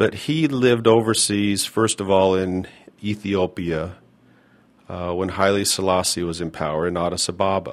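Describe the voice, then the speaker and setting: This is a normal speaking voice with an American accent. Its pitch variation is ordinary. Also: man. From US Mountain West (northern Utah). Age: 50s. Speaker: podcast host. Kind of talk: personal storytelling monologue.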